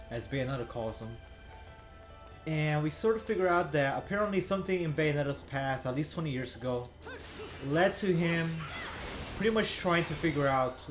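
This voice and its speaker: A man speaks at a moderate pace with a fairly high pitch and ordinary pitch variation over noticeable background noise. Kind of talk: casual gameplay commentary. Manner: stuttering, hesitant.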